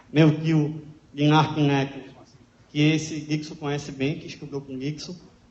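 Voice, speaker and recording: The man's fairly high voice is somewhat breathy and flat in intonation, with big swings in loudness and audible room echo. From Natal, Rio Grande do Norte, Brazil. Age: 30s. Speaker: public speaker sharing life story. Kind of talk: talk to an audience.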